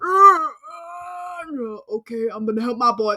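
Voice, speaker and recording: A man shouting in a put-on character voice. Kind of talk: comic overacting. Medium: fan dub. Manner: crude, exaggerated, yelling.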